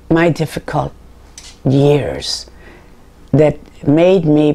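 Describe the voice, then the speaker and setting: With an American accent and a very deep, low pitch, a woman speaks against noticeable background noise. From California, Santa Barbara. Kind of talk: interview testimony. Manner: halting, with many fillers.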